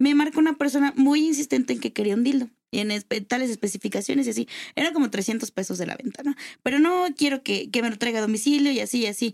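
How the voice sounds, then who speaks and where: A woman talks very fast in a high voice with ordinary pitch variation. The sound is dry and close, with no echo. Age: 20s. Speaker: lawyer and adult toy seller. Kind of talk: casual chat.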